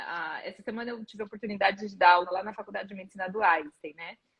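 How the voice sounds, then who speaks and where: The woman's voice is somewhat breathy and medium in pitch. Her pitch varies in an ordinary way. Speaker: physical education professor. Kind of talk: live stream interview. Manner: fast.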